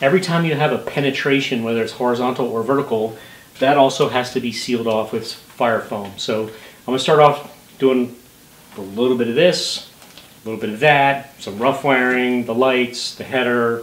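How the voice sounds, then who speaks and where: Audible room echo around a man's voice, at a moderate pace. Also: ordinary pitch variation. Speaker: home renovation vlogger. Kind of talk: tutorial. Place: home room. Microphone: camera far.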